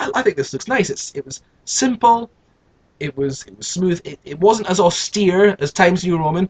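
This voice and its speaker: Speaking at a moderate pace with a British accent, a man with a high voice uses lively intonation and big swings in loudness, recorded with a dry, close sound and no echo. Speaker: youtuber. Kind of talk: casual monologue. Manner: halting, many repetitions.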